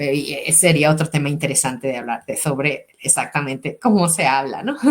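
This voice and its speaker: Her pitch is very deep and low for a woman. She speaks at a fairly quick pace. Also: ordinary pitch variation. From Mexico, Sonora. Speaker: educator and language school director hosting podcast. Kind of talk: interview. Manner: hesitant, many fillers and repetitions.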